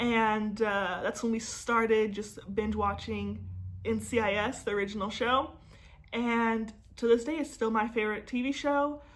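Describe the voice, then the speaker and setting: At a moderate pace, a woman talks with fairly even intonation and a fairly high pitch. Her voice carries audible room echo. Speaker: personal finance vlogger. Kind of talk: casual vlog talk to camera. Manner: slurs and stumbles over words.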